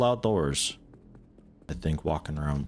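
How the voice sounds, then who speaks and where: With music playing in the background, a man speaks in an American accent, his pitch swinging very widely. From US Midwest. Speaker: video game streamer. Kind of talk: gameplay commentary. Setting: live stream. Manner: casual, conversational.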